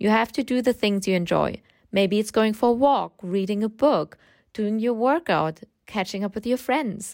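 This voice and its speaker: Recorded very cleanly against a silent background, with a dry, close sound and no echo, a woman with a German accent speaks at a moderate pace, her fairly high pitch showing ordinary variation. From Germany. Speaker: podcast host and freelance writing coach. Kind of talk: solo podcast monologue.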